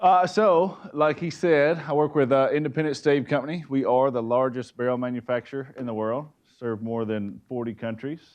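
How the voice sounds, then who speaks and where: A man speaks at a moderate pace and medium pitch with ordinary pitch variation and hardly any pauses. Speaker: forester and timber procurement manager. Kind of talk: presentation talk. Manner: loud.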